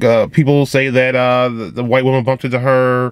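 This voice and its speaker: Recorded dry with no echo and a quiet background, a man speaks at a fairly quick pace. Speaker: vlogger. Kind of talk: commentary. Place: car. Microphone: phone near.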